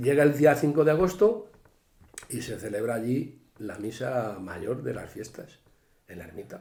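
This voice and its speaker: A man speaks fairly slowly at a medium pitch. His pitch swings very widely and his loudness shifts a lot. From Spain, Cuenca province (rural Castile-La Mancha). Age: 60s. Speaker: retired forest worker, local elder. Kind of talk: interview, casual reminiscing. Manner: animated, overlapping talk.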